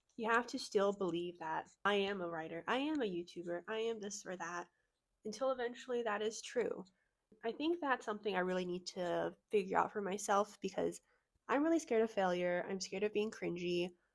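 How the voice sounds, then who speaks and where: A woman speaks at a fairly quick pace in a medium pitch with lively intonation. The recording is very clean, with a silent background. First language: Chinese. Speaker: book vlogger. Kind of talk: casual vlog chat. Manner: casual, filler-heavy.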